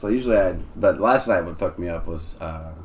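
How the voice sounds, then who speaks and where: The man's voice is somewhat breathy, with ordinary pitch variation. Room echo can be heard. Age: 20s. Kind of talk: casual chat.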